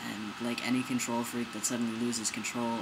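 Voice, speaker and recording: A man speaks amid noticeable background noise and audible room echo. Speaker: video blogger. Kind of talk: personal vlog. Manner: casual, animated.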